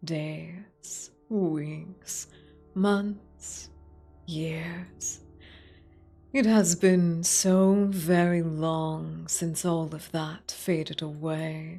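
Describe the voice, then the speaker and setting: Faint music plays behind a put-on character voice at middle pitch, moving at a very slow pace. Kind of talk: dark game-over monologue. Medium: virtual streamer. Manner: slow, solemn, measured.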